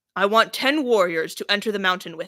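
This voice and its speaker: Growling in a put-on character voice at medium pitch, a woman speaks at a fairly quick pace with big swings in loudness. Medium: read story. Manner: commanding, forceful.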